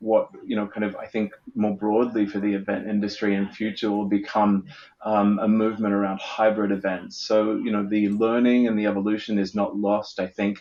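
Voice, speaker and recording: The man's voice is fairly low in pitch. He speaks at a moderate pace in a monotone, flat intonation. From Australia. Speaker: event producer. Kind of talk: panel discussion. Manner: hesitant, many fillers.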